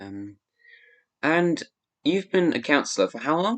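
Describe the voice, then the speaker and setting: A man with an English accent and a fairly high pitch speaks at a very slow pace. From grew up in England from age seven. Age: young. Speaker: live stream host. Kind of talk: interview. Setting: live stream.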